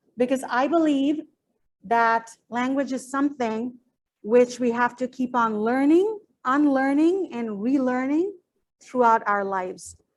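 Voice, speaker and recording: A high-pitched woman with a Bengali accent, fairly slow pace, ordinary pitch variation. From Bangladesh. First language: Bangla. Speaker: PhD researcher and teacher. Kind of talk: academic presentation.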